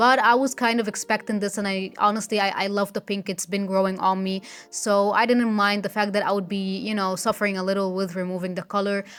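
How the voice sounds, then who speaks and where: A woman speaks with a non-native accent. Her intonation is monotone and flat, with hardly any pauses. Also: medium pitch for a woman, fairly quick pace. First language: not English. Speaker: beauty vlogger. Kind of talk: tutorial vlog; voiceover narration. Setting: filming at home.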